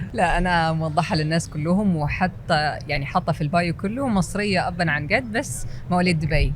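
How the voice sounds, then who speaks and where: A woman with a fairly low pitch talks at a moderate pace, using ordinary pitch variation and hardly any pauses. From UAE, Dubai (Egyptian parents). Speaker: content creator. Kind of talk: interview.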